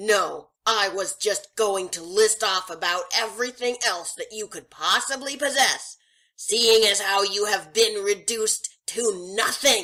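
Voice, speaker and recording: In a put-on character voice, the speaker shouts at a fairly slow pace with hardly any pauses. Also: female-sounding voice, medium pitch for a woman. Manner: angry, shouting.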